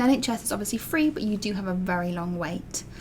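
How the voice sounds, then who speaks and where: A woman with an English accent at a fairly quick pace, over noticeable background noise. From England. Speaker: allergy parenting vlogger. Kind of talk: vlog tutorial. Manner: casual, with fillers.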